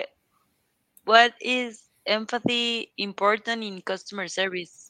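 A woman's fairly high, bright, sharp voice in a Spanish accent with monotone, flat intonation, a dry, close sound with no echo and a quiet background. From Guatemala. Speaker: job applicant practicing English. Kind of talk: mock job interview practice. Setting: online voice chat. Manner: halting.

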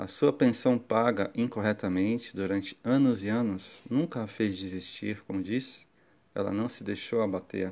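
The recording is very clean with a silent background. A man with a plain, everyday voice speaks at a moderate pace, fairly low in pitch, with ordinary pitch variation. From Brazil, Guarujá area (São Paulo coast). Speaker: podcast host. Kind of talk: personal storytelling monologue. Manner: warm, reflective.

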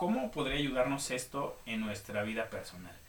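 Noticeable background noise and audible room echo are present. Through them, a man's pitch varies in an ordinary way. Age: 30s. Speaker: podcast host, illustrator and designer. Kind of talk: casual chat. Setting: live online radio studio.

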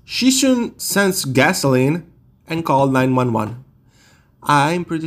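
A man with a non-native accent speaks at a moderate pace and a fairly high pitch. His intonation is lively, and the recording is very clean with a silent background. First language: not English. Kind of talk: true crime storytelling. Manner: halting.

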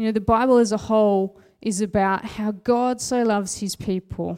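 At a moderate pace, a woman with a medium pitch and a dark, mellow tone speaks with fairly even intonation. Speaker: preacher. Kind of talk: sermon. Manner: plain conversational.

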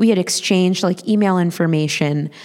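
A woman's plain, everyday voice at medium pitch and a moderate pace, with ordinary pitch variation on a very clean recording with a silent background. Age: 30s. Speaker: storyteller. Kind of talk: live storytelling. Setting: stage with audience.

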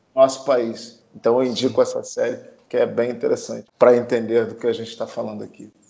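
Very fast male speech with big swings in loudness. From Brazil. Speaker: film producer. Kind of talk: casual chat.

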